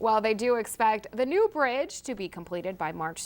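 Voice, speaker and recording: In a very clean recording with a silent background, a woman with a normal speaking voice and fairly high pitch talks at a moderate pace with lively intonation. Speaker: news anchor. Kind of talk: TV news anchor read.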